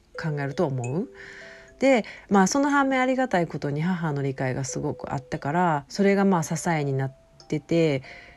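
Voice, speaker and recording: With a Kansai accent, the speaker talks at a moderate pace with very wide pitch swings as music plays in the background. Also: woman, fairly low pitch for a woman. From Osaka, Japan. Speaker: podcast host. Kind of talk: solo monologue podcast. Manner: casual, meandering.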